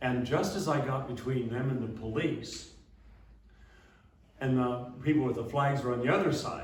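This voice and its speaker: The recording carries audible room echo. Noticeable background noise is present too. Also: man. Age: 70s. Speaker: abbot and speaker. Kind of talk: talk to church audience. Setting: church talk with audience. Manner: halting, many fillers.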